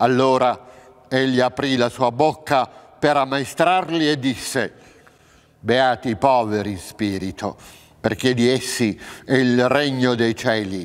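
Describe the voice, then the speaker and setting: A man talks at a very slow pace. He leaves long, frequent pauses. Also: medium pitch for a man, ordinary pitch variation. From central Italy, Abruzzo. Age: 60s. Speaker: actor. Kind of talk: reading aloud of scripture. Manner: formal. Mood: solemn, measured. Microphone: lapel.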